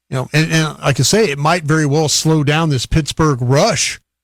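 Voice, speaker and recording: Somewhat breathy male speech, moderately paced with ordinary pitch variation, in a dry, close sound with no echo. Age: 60s. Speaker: radio football analyst. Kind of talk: live broadcast commentary.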